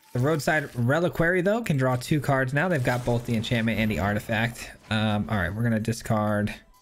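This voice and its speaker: A man's medium-pitched voice with lively intonation, very even loudness and hardly any pauses, at a fairly quick pace over background music. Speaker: gaming content creator. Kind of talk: gameplay commentary. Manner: casual, sometimes mumbling.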